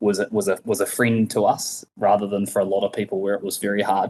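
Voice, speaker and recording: Against a quiet background, a man with a New Zealand accent speaks very fast in a flat monotone. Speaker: logistics company co-founder. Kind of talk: podcast interview.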